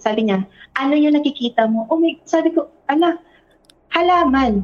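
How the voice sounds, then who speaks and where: A woman talks with a high pitch that swings very widely. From Philippines, provinces. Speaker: guest storyteller. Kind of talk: personal storytelling.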